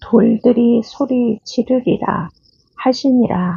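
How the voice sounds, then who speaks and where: A woman speaks at a fairly high pitch with a calm tone and a somewhat breathy quality. Her pace is very slow. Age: old. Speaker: Bible reader. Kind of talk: scripture reading. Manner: calm, slow.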